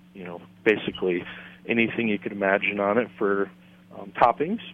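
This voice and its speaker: A man with an American accent, fairly low pitch, fairly even intonation and a moderate pace. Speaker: school chef. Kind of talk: interview.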